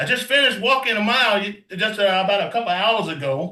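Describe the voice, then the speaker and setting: In a raised, projected voice, a man talks at a fairly quick pace with a high pitch and a bright, sharp tone. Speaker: pastor giving product testimony. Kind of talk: testimony. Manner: emotional; energetic.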